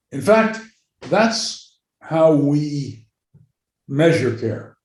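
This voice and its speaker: A man talks with lively intonation and a somewhat breathy voice. Room echo is audible. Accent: American. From New York. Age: 80s+. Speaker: psychiatrist and medical anthropologist. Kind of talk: interview.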